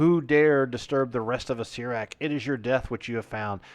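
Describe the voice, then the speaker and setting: A man performs a put-on character voice at a medium pitch. The voice is booming and resonant. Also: moderate pace. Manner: menacing.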